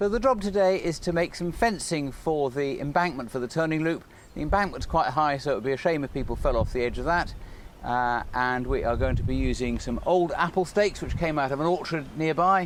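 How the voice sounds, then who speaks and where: Here a man with an English accent talks at a fairly quick pace. His pitch is fairly high and his intonation is lively. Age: 60s. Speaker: model engineer and children's author. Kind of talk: narrated tutorial. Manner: casual.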